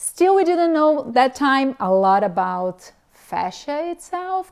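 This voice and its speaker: Her intonation lively, a woman speaks at a very slow pace. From Brazil. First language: Portuguese. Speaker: physical therapist and mobility specialist. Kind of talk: interview conversation.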